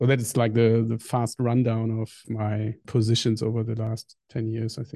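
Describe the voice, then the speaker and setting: In a German accent, a man with a medium-pitched, dark, mellow voice speaks at a moderate pace in a flat monotone, with hardly any pauses. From northern Germany. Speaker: software engineer. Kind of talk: interview.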